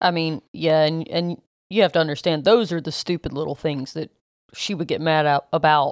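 A woman with a Southern US accent speaks at a moderate pace in a very deep, low voice. The recording is very clean, with a silent background and a dry, close sound with no echo. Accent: Southern US (Georgia). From US South, South Georgia. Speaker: podcast co-host. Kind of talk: casual chat.

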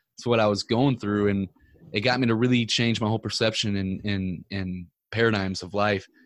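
At a fairly quick pace, a man talks in an unremarkable speaking voice, his intonation fairly even. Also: fairly low pitch for a man. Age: 30s. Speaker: entrepreneur and podcaster. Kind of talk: casual chat.

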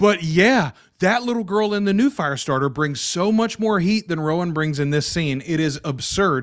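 A man talks in a high voice with lively intonation. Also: moderate pace. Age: 40s. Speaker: podcast host. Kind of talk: casual chat.

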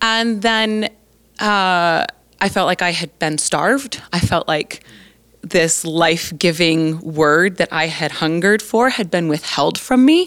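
On a very clean recording with a silent background, a woman with an American accent uses a plain, everyday voice, speaking at a fairly slow pace and a fairly low pitch with ordinary pitch variation. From Colorado, US. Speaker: Bible college professor. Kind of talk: interview.

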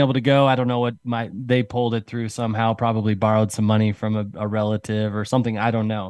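Medium pitch from a man, very clean recording, silent background. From Utah, US Mountain West. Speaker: leadership coach. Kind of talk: casual interview chat.

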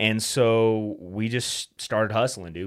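A man with an American accent talks at a fairly low pitch. The recording is very clean, the background silent. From US West, Utah (Salt Lake City area). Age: 30s. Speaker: financial services entrepreneur and podcaster. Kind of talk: interview, personal story. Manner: casual, animated.

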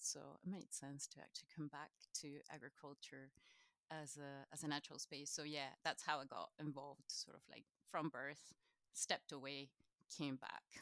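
A woman with a very deep, low pitch and a bright, sharp tone speaks at a moderate pace in monotone, flat intonation, with long, frequent pauses and a dry, close sound with no echo. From Chile. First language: Spanish. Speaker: knowledge exchange manager at a farming charity. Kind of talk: interview conversation.

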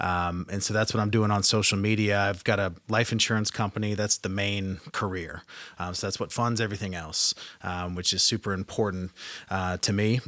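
A man with a fairly low, bright, sharp voice speaks at a moderate pace in a flat monotone, on a very clean recording with a silent background. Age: 30s. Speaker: life insurance entrepreneur and social media speaker. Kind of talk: casual interview.

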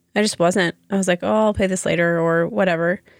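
A woman with a plain, everyday voice, fairly low in pitch, fairly even in intonation, at a moderate pace, in a dry, close sound with no echo. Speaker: podcast co-host.

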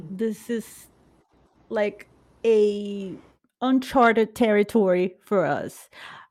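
A woman with a Brazilian accent, a playful tone and a very slow pace. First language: Portuguese. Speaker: podcast host. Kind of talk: casual chat. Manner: playful, laughs often.

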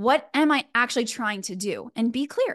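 A high-pitched woman with a slight Texan accent, an animated tone and ordinary pitch variation, against a quiet background. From Texas, Houston. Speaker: fundraising coach. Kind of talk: live masterclass.

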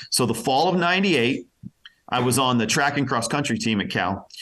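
A normal speaking voice with an American accent, moving at a moderate pace with lively intonation. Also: man. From Pennsylvania. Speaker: radio personality. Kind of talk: interview.

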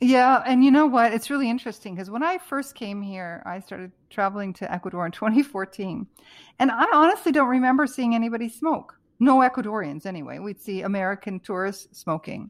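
Fairly quick and lively in intonation, a woman speaks in an unremarkable speaking voice at a fairly high pitch, with big swings in loudness. The recording is very clean, with a silent background. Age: 60s. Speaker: author and health coach. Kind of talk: interview.

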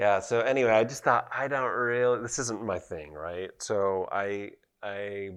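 A man speaks with a Utah accent. His pace is fairly slow. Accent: American, Utah. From Utah (Provo). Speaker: painter and sculptor. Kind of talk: casual chat.

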